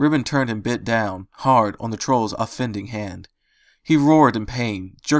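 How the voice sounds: Ordinary pitch variation in a natural reading voice, over a quiet background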